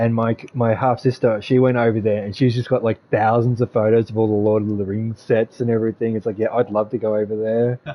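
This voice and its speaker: Speaking in an Australian accent, a man keeps a monotone, flat intonation with hardly any pauses over noticeable background noise. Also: medium pitch for a man. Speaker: gaming streamer. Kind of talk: casual chat. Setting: live stream voice chat. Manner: talkative.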